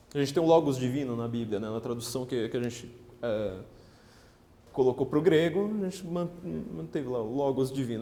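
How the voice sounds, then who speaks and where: A man's lively intonation at a fairly quick pace, with audible room echo. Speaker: political writer and lecturer. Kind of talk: lecture. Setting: stage with audience. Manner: fast; halting.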